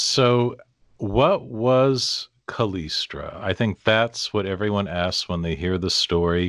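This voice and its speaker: In a General American accent, a man speaks at a very slow pace with a fairly low pitch and ordinary pitch variation, in a dry, close sound with no echo and a quiet background. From US Pacific Northwest. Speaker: podcast host. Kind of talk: interview.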